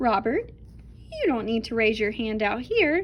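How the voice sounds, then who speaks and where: A woman's put-on character voice, fairly high in pitch, over clear background noise. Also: moderate pace. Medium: read story. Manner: roaring, stern.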